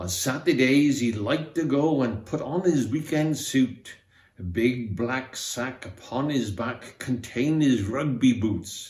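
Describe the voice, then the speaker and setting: Somewhat breathy and fairly slow, a man with a Welsh accent speaks at a medium pitch. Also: ordinary pitch variation. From Wales. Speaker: amateur theatre member. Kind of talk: reading aloud. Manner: expressive.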